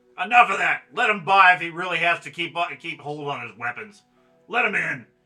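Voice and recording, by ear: A man in a put-on character voice sounds gruff and high-pitched, speaking at a fairly quick pace with faint music in the background.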